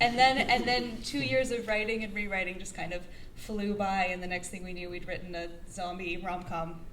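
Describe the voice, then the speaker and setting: In a Canadian accent, a woman talks at a moderate pace with a medium pitch, ordinary pitch variation and big swings in loudness. Noticeable background noise and audible room echo come through as well. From Canada. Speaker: actress and screenwriter. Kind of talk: interview.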